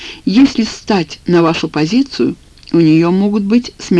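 Simple, plain reading aloud

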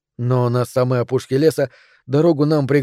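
The words are read aloud plainly.

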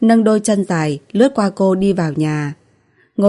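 The voice heard here is an unforced reading voice.

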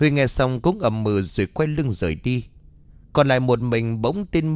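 This is an unforced reading voice. Pitch variation is ordinary.

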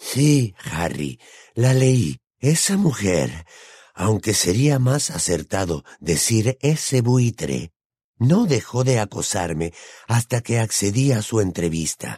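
A man speaks slowly in a put-on character voice, fairly low-pitched with big swings in pitch. His tone is dark and mellow with a slightly husky edge, on a very clean recording with a silent background.

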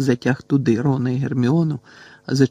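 Someone reads aloud in a natural voice. The intonation is fairly even.

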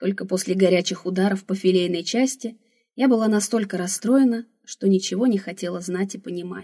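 Reading aloud in a natural voice, with ordinary pitch variation, against a quiet background.

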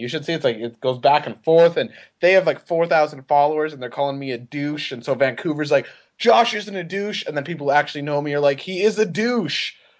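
A man with a plain, everyday voice speaks at a fairly high pitch with lively intonation. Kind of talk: casual banter podcast.

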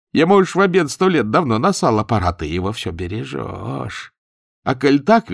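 Quiet background behind a natural reading voice

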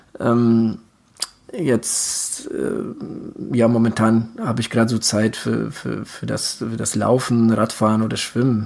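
Over noticeable background noise, a man talks at a very slow pace with medium pitch and fairly even intonation. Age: 40s. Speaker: endurance sports podcast co-host, triathlete. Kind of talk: casual chat. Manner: halting, many filler sounds.

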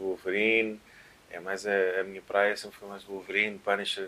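At a moderate pace, a man with a fairly low pitch speaks in monotone, flat intonation. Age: 30s. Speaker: DJ and musician. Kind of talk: casual chat. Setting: at home.

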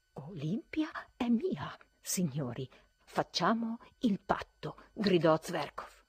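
In an unforced reading voice, the speech carries lively intonation.

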